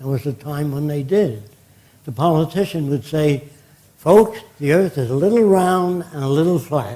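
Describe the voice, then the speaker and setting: A man with a fairly high pitch and a dark, mellow, somewhat breathy tone speaks at a moderate pace with lively intonation. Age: 90s. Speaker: futurist lecturer. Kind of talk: lecture. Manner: conversational, anecdotal.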